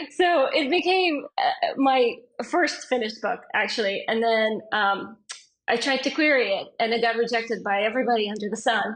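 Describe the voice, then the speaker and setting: Her fairly high pitch rises and falls in lively intonation as the woman speaks at a moderate pace. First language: not English. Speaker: fantasy author. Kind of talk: casual interview chat.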